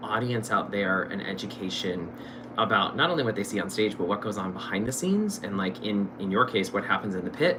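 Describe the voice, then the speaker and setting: A man's lively intonation over music in the background. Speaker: stage actor and show host. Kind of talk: casual interview chat. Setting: live stream. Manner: loud, projecting; animated.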